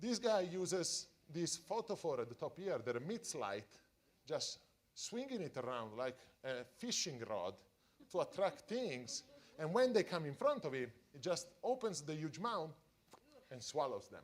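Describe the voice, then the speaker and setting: A man with an Italian accent speaks at a moderate pace and a high pitch, with very wide pitch swings. His speech has long, frequent pauses. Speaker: deep-sea scientist. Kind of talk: public science talk for families. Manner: halting.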